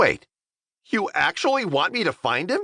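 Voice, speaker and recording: A man puts on a character voice at an extremely high pitch. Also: moderate pace. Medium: read story. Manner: flippant, sarcastic.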